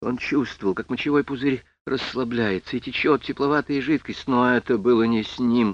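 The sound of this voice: The recording features an unforced reading voice.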